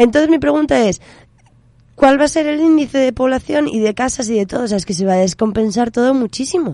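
A woman's high-pitched voice with a dark, mellow tone, very wide pitch swings and a very fast pace. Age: 20s. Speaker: community radio host. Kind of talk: casual banter on radio.

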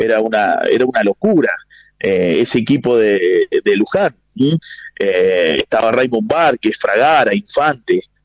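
A man speaks at a fairly slow pace and a medium pitch, with very wide pitch swings but very even loudness. The sound is dry and close, with no echo. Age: 40s. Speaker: basketball journalist. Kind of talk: radio interview.

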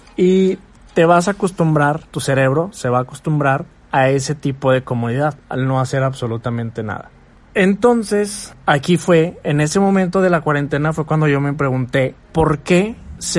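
At a moderate pace, a man talks in a fairly high voice with ordinary pitch variation. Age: 20s. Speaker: podcaster. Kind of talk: motivational monologue. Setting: bedroom at night.

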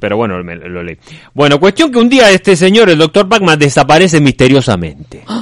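A man with an Argentine accent talks at a fairly quick pace, his fairly high pitch making very wide swings and his loudness swinging widely too. The sound is dry and close with no echo. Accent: foreign accent, Argentine. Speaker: radio co-host. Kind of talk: comedic radio chat and storytelling.

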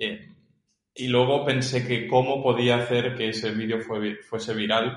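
This man speaks at a medium pitch and a fairly slow pace in a monotone, flat way. Audible room echo surrounds his voice. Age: 30s. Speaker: filmmaker and tennis coach. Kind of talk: casual interview.

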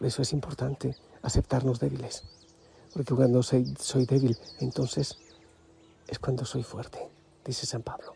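A man speaks in a calm, gentle tone at a moderate pace, with monotone, flat intonation. Long, frequent pauses break up his speech while music plays in the background. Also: medium pitch for a man. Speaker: religious preacher, spiritual leader. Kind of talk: devotional reflection. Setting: outdoors in the mountains.

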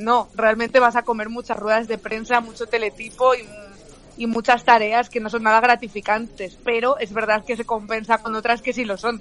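Flat, monotone intonation amid noticeable background noise. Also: woman, fairly high pitch for a woman, moderate pace. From León, Spain. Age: 20s. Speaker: journalist and comedian. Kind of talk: casual chat.

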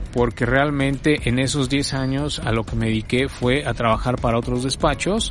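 A man's speech comes at an even, middling speed, its pitch rising and falling in a typical way, with clear noise audible behind him. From Mexico City. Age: 50s. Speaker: architect. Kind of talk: interview. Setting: outdoors on a university campus. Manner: hesitant, many fillers.

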